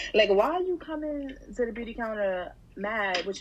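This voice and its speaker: A woman speaks with lively intonation. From Harlem, New York City. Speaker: writer and beauty worker. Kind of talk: casual chat.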